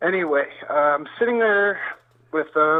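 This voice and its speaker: Talking with ordinary pitch variation, the male speaker holds a moderate pace. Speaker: UFO witness and researcher. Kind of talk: interview testimony. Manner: shaky.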